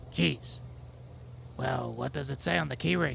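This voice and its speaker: A man's put-on character voice, very deep and low, over clear background noise. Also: moderate pace. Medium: fan dub. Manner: groggy, confused.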